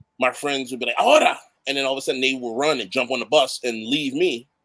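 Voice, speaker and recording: Animated in tone, a man at medium pitch speaks at a very fast pace. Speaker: award honoree. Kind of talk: interview chat. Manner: animated storytelling.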